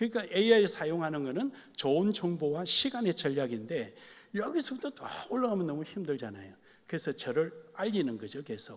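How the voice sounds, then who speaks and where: With a Gyeongsang accent, a man talks at a fairly quick pace in a high pitch that moves through very wide pitch swings. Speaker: pastor. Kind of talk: sermon.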